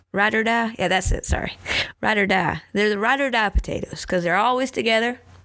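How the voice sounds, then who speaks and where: A woman talks very fast in a Southern US accent, her pitch fairly high. Her intonation is lively. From Tennessee. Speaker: vlogger. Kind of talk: casual chat. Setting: at home.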